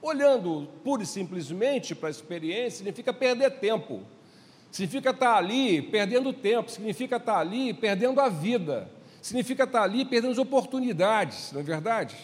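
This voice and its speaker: High-pitched male speech at a fairly quick pace, with lively intonation. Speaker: pastor. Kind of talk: sermon.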